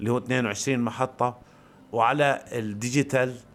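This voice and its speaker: Here a man talks at a fairly slow pace. His medium-pitched voice stays monotone and flat. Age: 40s. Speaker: podcaster. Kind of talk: improvised personal monologue. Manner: halting, many pauses.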